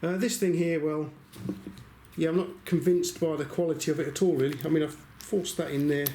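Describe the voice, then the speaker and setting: Very fast speech from a man with a fairly high pitch, fairly even intonation and an English accent, plus audible room echo. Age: 60s. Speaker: YouTuber reviewing secondhand tools. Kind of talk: casual vlog talk to camera. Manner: chatty, hesitant with fillers.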